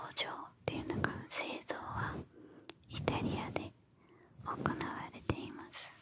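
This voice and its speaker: Over loud background noise, a woman talks at a very slow pace in a dry sound with no echo. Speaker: ASMR creator. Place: home room. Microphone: studio mic.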